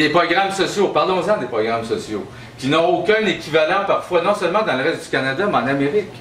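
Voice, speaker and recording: A man with a Quebec accent, high-pitched, with lively intonation and a fairly quick pace, amid noticeable background noise and audible room echo. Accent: Québécois French. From Quebec, Abitibi (Rouyn-Noranda). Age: 50s. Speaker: leadership candidate, labour activist. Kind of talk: campaign speech. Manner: conversational, informal.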